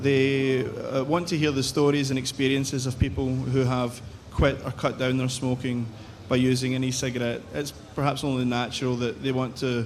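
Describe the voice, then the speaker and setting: A medium-pitched man at a moderate pace, monotone and flat, with audible room echo. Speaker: behavioural psychologist, researcher. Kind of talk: conference presentation. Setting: conference stage with audience and translators.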